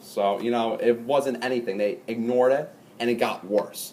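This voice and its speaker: Background noise is noticeable throughout. The voice is a man's. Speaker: student speaker who stutters. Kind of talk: talk to audience. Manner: halting, with repetitions.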